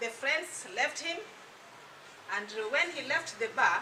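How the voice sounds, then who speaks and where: Speaking very slowly in a high pitch, a woman is heard with audible room echo and noticeable background noise. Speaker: product distributor giving testimony. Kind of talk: testimony. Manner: soft-spoken.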